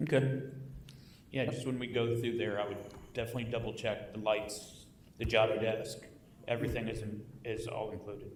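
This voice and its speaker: A man at medium pitch, fairly quick between long, frequent pauses, with monotone, flat intonation and audible room echo. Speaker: city council member. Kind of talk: council meeting discussion. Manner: loud.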